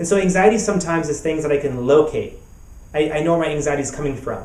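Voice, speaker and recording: The speaker uses ordinary pitch variation, and audible room echo surrounds the voice. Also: man. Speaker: therapist and author. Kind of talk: recorded talk. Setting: web summit video. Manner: halting, repeats words.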